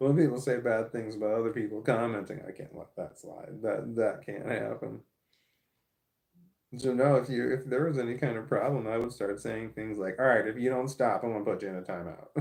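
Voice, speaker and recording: With an American accent and vocal fry, a man speaks at a fairly quick pace with fairly even intonation. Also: medium pitch for a man. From St. Louis, Missouri, US Midwest. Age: 40s. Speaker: live streamer. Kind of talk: live stream chat reading comments. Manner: stammering; halting, repetitive.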